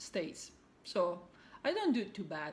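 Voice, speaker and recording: Audible room echo surrounds a speaker with an Italian accent. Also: woman. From Italy. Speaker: cross-stitch video blogger. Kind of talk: casual vlog monologue. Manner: halting, many fillers.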